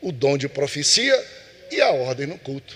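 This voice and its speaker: Noticeable background noise sits behind this man. His pitch is fairly high. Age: 60s. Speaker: pastor teaching Sunday school. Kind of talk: Bible class lesson.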